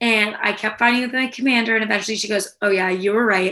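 A woman with a Californian accent speaks at a very fast pace and a fairly high pitch. Her tone is animated, bright and sharp. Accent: Californian American English. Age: 20s. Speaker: former military spokesperson staffer. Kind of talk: casual chat.

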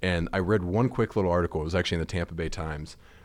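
With an American accent, the speaker keeps a fairly even intonation. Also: man. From US South. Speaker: data analyst co-host. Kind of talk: casual chat. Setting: studio.

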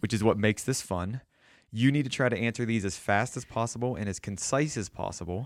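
A man with an American accent at a medium pitch, ordinary pitch variation and a fairly quick pace, on a very clean recording with a silent background. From southwestern Pennsylvania. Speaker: podcast host. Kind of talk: interview chat.

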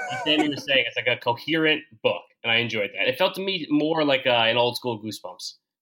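Over music in the background, a man talks at a very fast pace with hardly any pauses. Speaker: guest podcaster discussing Goosebumps books. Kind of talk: casual chat.

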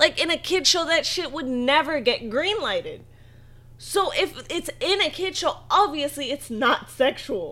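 A woman speaks in a raised, projected voice at a high pitch, her tone animated and her pitch swinging very widely at a fairly slow pace. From Filipino family background. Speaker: podcast co-host. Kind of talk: casual chat.

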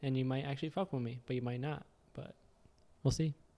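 A man speaks with a plain, everyday voice. His pitch is fairly high and his intonation fairly even. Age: 20s. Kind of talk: casual chat.

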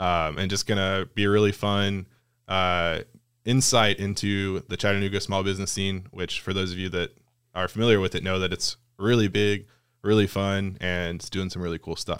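A man with an American accent at a fairly low pitch, moderate pace and monotone, flat intonation, on a very clean recording with a silent background. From US South, Mississippi. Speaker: coffee shop owner and podcast host. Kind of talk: casual chat.

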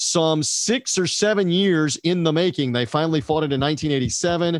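A man with an American accent, high-pitched, with ordinary pitch variation against a quiet background. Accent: half Southern US. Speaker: boxing podcast host. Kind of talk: podcast hosting and interview.

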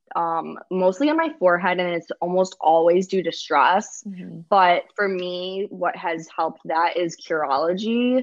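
A woman's medium-pitched, fairly slow delivery with an American accent and ordinary pitch variation, an ordinary speaking voice. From US Midwest, Chicago. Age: 20s. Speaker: lifestyle and wellness blogger. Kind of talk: casual chat.

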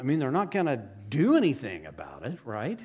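With an American accent, a man's fairly high voice carries vocal fry and very wide pitch swings. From Oklahoma, US. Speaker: guest preacher. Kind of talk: sermon. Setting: church.

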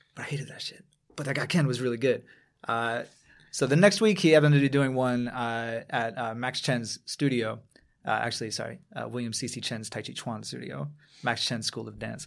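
On a very clean recording with a silent background, a man speaks fairly quickly in an ordinary speaking voice at a medium pitch, with ordinary pitch variation and big swings in loudness. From upstate New York. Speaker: mixed martial arts fighter. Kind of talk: casual interview. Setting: gym mats.

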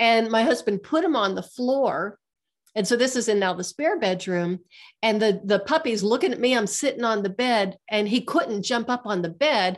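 Against a quiet background, a woman with a plain, everyday voice speaks at a moderate pace and a fairly high pitch. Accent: American. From Western Pennsylvania. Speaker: author and fitness instructor. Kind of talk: casual interview chat.

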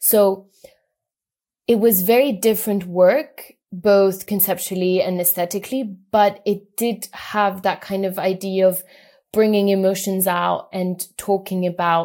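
With a French accent, a woman speaks fairly slowly at a medium pitch in a dark, mellow tone, her intonation fairly even but her loudness swinging widely, on a very clean recording with a silent background. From France. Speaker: artist and designer. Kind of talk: interview.

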